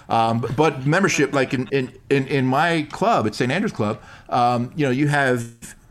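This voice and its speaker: With an American accent, a man speaks at a moderate pace in a fairly high pitch, his pitch varying in an ordinary way. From New York. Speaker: improv performer and golfer. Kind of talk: casual interview chat. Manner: rambling, hesitant with fillers.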